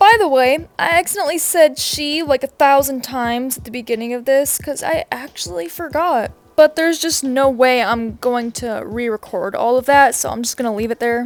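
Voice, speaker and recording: Hardly pausing, a woman speaks at a moderate pace in a high voice with lively intonation and big swings in loudness. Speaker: commentary youtuber. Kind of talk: casual commentary monologue. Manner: casual, filler-heavy.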